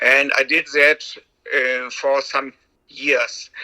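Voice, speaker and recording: A man with a German accent. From Germany. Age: 60s. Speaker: sled dog musher, retired doctor. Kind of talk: interview.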